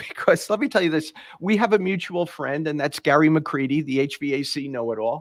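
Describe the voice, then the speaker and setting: In a New York accent, a man speaks at a fairly high pitch with lively intonation on a very clean recording with a silent background. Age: 60s. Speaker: podcast host, former HVAC tradesman. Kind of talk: interview.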